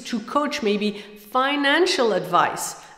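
A woman with a fairly bright tone speaks with ordinary pitch variation over faint background noise.

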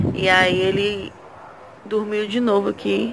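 Noticeable background noise behind a woman's voice. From Ceará, Brazil. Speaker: mother vlogger. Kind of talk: casual vlog talk to camera. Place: home room. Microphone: phone near.

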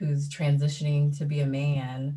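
Against a quiet background, a woman with a very deep, low pitch speaks at a moderate pace in a dark, mellow tone that is somewhat breathy. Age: 30s. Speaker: artist, mother; panelist. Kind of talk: panel discussion. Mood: warm, reflective. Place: home room. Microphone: video call.

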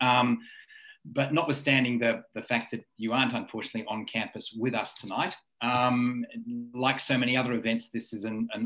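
This is an ordinary speaking voice against a quiet background. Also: man. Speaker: university leader. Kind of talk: formal introduction. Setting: video call. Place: home room. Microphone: webcam.

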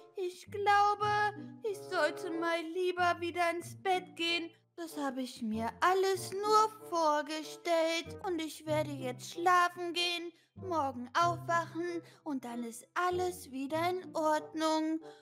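A woman speaks at a very slow pace, with music playing in the background. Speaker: roleplay narrator voicing daughter character. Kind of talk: roleplay character dialogue. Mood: puzzled, then disbelieving.

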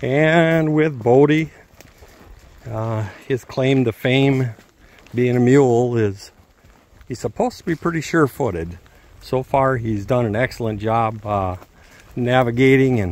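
Dry sound with no echo, a man with ordinary pitch variation and long, frequent pauses. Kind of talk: casual vlog chat. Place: forest. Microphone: phone near.

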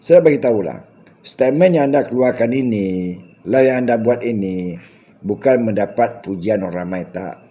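A man's dark, mellow voice of medium pitch, lively in intonation, at a moderate pace. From Malaysia. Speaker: YouTube commentator. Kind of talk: monologue rant addressed to critics.

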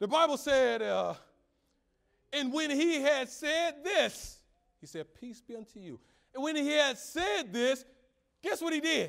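With long, frequent pauses and a fairly slow pace, a man speaks in an extremely high pitch with ordinary pitch variation, big swings in loudness and an animated, energetic tone against a quiet background. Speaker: preacher. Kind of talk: sermon. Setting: church. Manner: animated, call-and-response preaching with rhetorical questions and exclamations; conversational, humorous, and energetic. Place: church.

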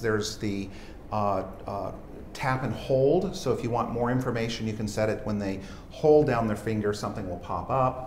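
Over light background noise and audible room echo, a man talks with ordinary pitch variation. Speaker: software entrepreneur. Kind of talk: product demo interview. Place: studio. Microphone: lapel.

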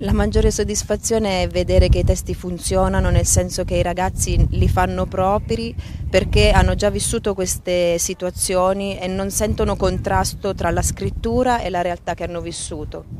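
A woman at a moderate pace, with a dry sound with no echo and noticeable background noise. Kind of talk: interview answer. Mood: calm, warm, reflective. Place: boat. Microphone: handheld.

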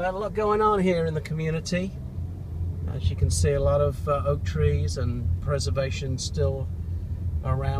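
Against loud background noise, a man speaks at a moderate pace in a dry sound with no echo. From England. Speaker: real estate agent. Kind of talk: casual property tour talk while driving. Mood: upbeat promotional. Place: car. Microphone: phone near.

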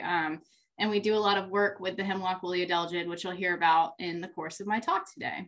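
Against a quiet background, a woman talks at a fairly quick pace in a bright, sharp tone. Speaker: presenter. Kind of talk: lecture. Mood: friendly, slightly nervous laughs. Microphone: webcam.

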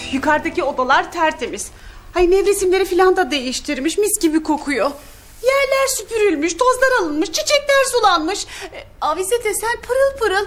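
At a moderate pace, a woman speaks at an extremely high pitch with very wide pitch swings. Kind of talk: comedic acted monologue. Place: home room.

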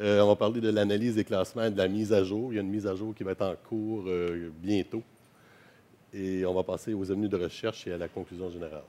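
A man talks at a very fast pace. His tone is dark and mellow, his intonation flat and monotone. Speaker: professor giving a conference talk. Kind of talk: lecture. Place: hall. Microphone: headset.

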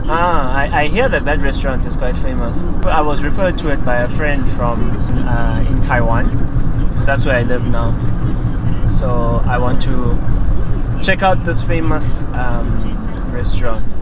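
Against loud background noise, a man talks at a fairly slow pace with long, frequent pauses, in a dry sound with no echo. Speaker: travel vlogger. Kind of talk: casual conversation. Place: car. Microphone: lapel.

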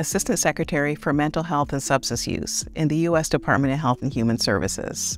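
A woman with a very deep, low pitch talks at a moderate pace in a dry sound with no echo, faint music in the background. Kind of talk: public service message. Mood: warm, calm, earnest. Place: studio. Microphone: lapel.

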